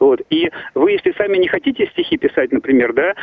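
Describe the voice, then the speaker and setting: A man at a fairly quick pace. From Russia, Saint Petersburg. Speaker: caller. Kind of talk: phone-in call. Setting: phone call. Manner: halting.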